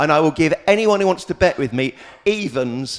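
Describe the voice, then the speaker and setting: At a moderate pace, a man speaks in a passionate tone with very wide pitch swings. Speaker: local councillor. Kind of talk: heated debate.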